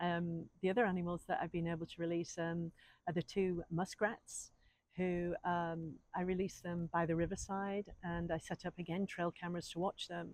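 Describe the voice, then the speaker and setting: Her pace is moderate. This woman keeps a fairly low pitch and fairly even intonation. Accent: English. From England. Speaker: wildlife refuge volunteer. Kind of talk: interview answers. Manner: halting, many fillers.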